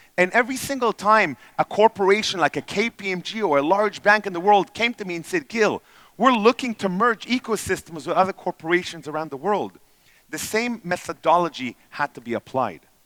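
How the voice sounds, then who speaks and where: Speaking with an Israeli accent, a man uses a high pitch, a bright, sharp tone and lively intonation at a fairly quick pace, with big swings in loudness on a very clean recording with a silent background and a dry, close sound with no echo. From Israel, then Canada from age ten. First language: Hebrew. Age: 40s. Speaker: entrepreneur and speaker. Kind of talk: conference talk.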